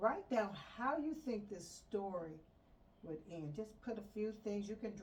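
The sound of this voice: Unforced reading voice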